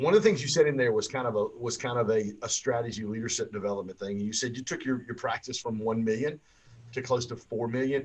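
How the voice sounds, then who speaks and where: This man talks at a very fast pace, somewhat breathy, with a Southern US accent. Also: medium pitch for a man, ordinary pitch variation. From Michigan, Pontiac. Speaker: podcast host. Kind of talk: casual interview.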